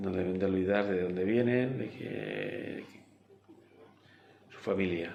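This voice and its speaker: A man's very deep, low voice at a very slow pace, with long, frequent pauses and audible room echo. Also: ordinary pitch variation. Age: 70s. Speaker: interviewee sharing life story. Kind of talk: interview. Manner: halting.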